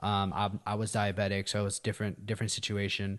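A man's voice over a quiet background. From Afghan family. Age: 30s. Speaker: podcast guest, friend of host. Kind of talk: casual chat.

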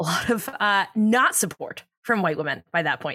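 A woman speaks at a medium pitch with an animated delivery. Her tone is bright and sharp. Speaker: podcast co-host. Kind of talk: casual chat. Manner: animated, feisty.

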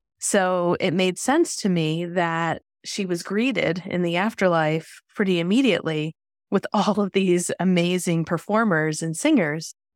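A woman's normal speaking voice, fairly low in pitch with ordinary pitch variation, at a fairly slow pace, in a very clean, dry, close recording with no echo and a silent background. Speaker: podcast host. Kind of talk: interview, casual conversation.

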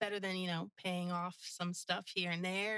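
With an American accent, a woman speaks in a bright, sharp tone and fairly even intonation, the sound dry and close with no echo. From New Jersey. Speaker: coffee truck owner. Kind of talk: casual interview.

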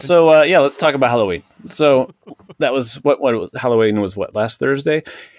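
In a normal speaking voice with an American accent, a man talks at a moderate pace and fairly high pitch with ordinary pitch variation, the sound dry and close with no echo. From Washington State, Seattle. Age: 40s. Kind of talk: casual chat.

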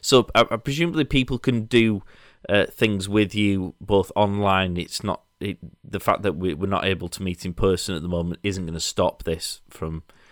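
Dry, close sound with no echo, a man with a Yorkshire accent, fairly low pitch, ordinary pitch variation and a moderate pace. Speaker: podcast host. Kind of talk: casual interview. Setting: video call.

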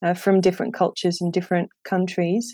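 A woman with a slight non-native accent speaks at medium pitch in a dark, mellow tone, her intonation monotone and flat. The recording is very clean with a silent background, dry and close with no echo. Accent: near-native English. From Netherlands. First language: Dutch. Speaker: English teacher. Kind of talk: interview.

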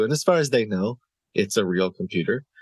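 The recording has a dry, close sound with no echo and a quiet background. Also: man. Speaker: YouTuber who baits scammers. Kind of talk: casual interview. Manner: puts on an elderly voice when imitating scam calls.

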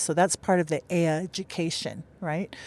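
This woman speaks with a Hawaiian accent. Her pitch is fairly low. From Hawaii, Oahu (Makaha). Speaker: professor of Hawaiian religion, protest camp organizer. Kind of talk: interview.

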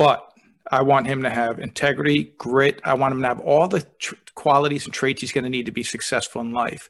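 With a plain, everyday voice, a man speaks at a medium pitch and a fairly quick pace, his intonation fairly even. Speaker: podcast host, speaker and author. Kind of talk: casual interview conversation.

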